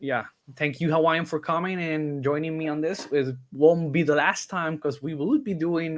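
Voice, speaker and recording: In a normal speaking voice, the speaker talks at a moderate pace with fairly even intonation on a very clean recording with a silent background. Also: man. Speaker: YouTube reaction channel host. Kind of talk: casual chat.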